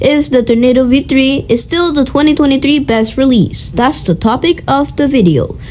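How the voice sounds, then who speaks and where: A woman with a high voice talks at a moderate pace over noticeable background noise. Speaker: cubing YouTuber. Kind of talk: tutorial.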